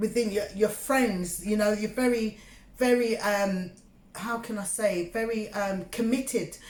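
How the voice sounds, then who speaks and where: A woman speaks with a London accent, her voice somewhat breathy and fairly high. She talks at a fairly slow pace with fairly even intonation. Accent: British English (London). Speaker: tarot reader. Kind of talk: tarot reading monologue. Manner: halting, filler-heavy; casual, conversational.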